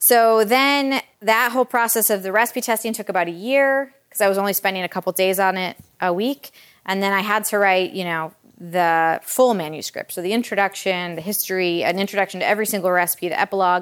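A woman speaks at a fairly quick pace with a Michigan accent. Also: medium pitch for a woman, ordinary pitch variation. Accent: Michigan (Inland North) American. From US Midwest, Metro Detroit, Michigan. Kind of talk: author talk to a live audience. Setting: kitchen of a cookbook shop with audience.

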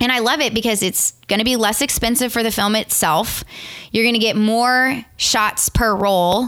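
On a very clean recording with a silent background, a woman with a Southern Louisiana accent talks at a fairly high pitch in a bright, sharp tone. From Louisiana, Morgan City. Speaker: wedding photographer. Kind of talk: casual interview chat.

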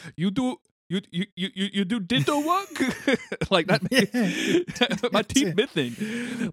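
A man mumbles in a put-on character voice, pitched high for a man. He goes at a very slow pace with very wide pitch swings. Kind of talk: broken third-person speech. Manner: garbled mumbling.

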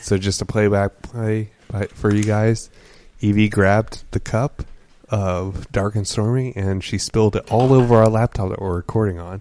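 Speaking at a fairly low pitch, a man uses fairly even intonation and a dark, mellow tone. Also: moderate pace. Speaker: podcast co-host, bartender. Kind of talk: casual chat over drinks.

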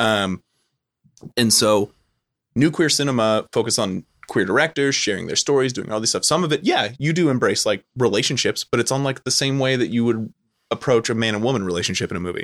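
The man's medium-pitched voice comes at a fairly quick pace, in a Californian accent. The sound is dry and close with no echo, on a very clean recording with a silent background. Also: ordinary pitch variation. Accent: Californian American English. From Southern California. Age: 30s. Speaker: film lecturer. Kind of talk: casual chat.

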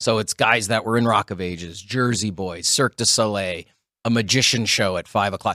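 Fairly low-pitched male voice with a bright, sharp tone, a fairly quick pace and fairly even intonation, dry and close with no echo, on a very clean recording over a silent background. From Sault Ste. Marie, Ontario, Canada. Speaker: show host and emcee. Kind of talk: casual chat.

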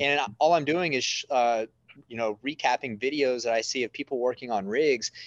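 In a West Texas accent, a man speaks at medium pitch and a moderate pace with ordinary pitch variation, the sound dry and close with no echo and the background quiet. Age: 30s. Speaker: oil and gas media entrepreneur. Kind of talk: casual chat.

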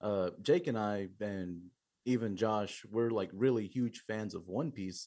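A man speaks with a Texan accent. His pitch is fairly low, with ordinary variation. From Eagle Lake, Texas. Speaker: metal drummer. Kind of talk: interview.

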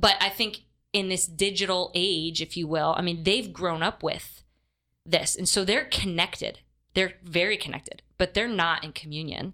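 A woman's normal speaking voice in an American accent, at medium pitch and a moderate pace, with ordinary pitch variation. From upstate New York. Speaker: diocesan youth ministry director. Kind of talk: interview. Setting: studio.

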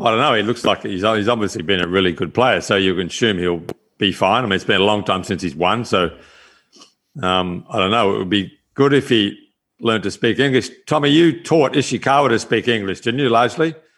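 A man with a fairly low voice speaks at a fairly quick pace with lively intonation. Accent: Australian. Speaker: golf course architect and former touring pro. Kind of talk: casual chat. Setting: video call.

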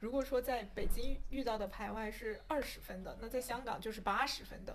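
Her pitch fairly high, a woman speaks in an unremarkable speaking voice at a moderate pace with ordinary pitch variation. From mainland China. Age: young. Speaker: podcast guest. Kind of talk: casual chat.

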